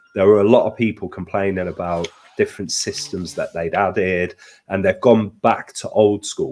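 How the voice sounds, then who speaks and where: At a fairly slow pace, a man speaks with a British accent. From Britain. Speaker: gaming streamer. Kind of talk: casual chat. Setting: live stream.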